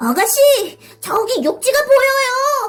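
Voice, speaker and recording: A put-on character voice, squeaky and extremely high-pitched, at a fairly slow pace with faint music in the background. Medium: read story. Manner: polite, friendly.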